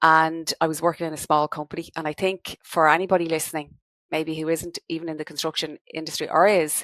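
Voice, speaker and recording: With a Dublin accent, a woman speaks in a very deep, low pitch and monotone, flat intonation, in a dry, close sound with no echo. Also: fairly quick pace. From Ireland, Dublin. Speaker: business owner, credit management consultant. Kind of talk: podcast interview.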